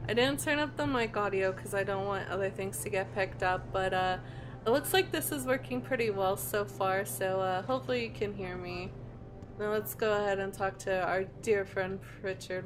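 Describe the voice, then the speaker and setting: Soft-spoken and calm, a woman at a medium pitch talks at a moderate pace, her voice making very wide pitch swings. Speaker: gaming video creator. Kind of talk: let's play commentary. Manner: calm, unexcitable. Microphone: voice quieter than game audio.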